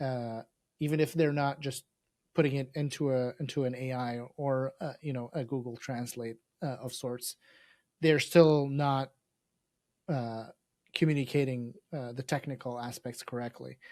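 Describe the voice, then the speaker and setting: A man with an Arabic accent at medium pitch and moderate pace, with fairly even intonation and long, frequent pauses, on a very clean recording with a silent background. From Lebanon. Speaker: podcast co-host. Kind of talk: interview podcast.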